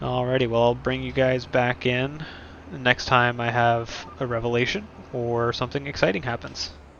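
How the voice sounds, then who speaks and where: Noticeable background noise surrounds a man speaking at a moderate pace. His pitch is medium and his intonation fairly even. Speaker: gaming youtuber. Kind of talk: gameplay commentary. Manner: pauses a lot; halting.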